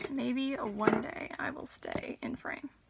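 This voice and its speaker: Over noticeable background noise, a woman speaks at a fairly slow pace with ordinary pitch variation in a dry sound with no echo. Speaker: beauty vlogger. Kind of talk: casual makeup tutorial chat. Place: home room. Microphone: phone near.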